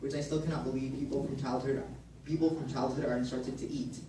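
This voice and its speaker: A man talks at medium pitch with fairly even intonation. Noticeable background noise runs underneath. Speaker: university student. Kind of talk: poetry slam performance.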